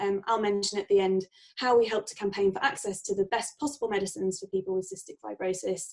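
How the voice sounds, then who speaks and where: A woman speaks at a very fast pace, her medium pitch carrying ordinary variation. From Lincolnshire, England. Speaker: charity registry manager, event host. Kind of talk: online presentation introduction. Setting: online video event from home.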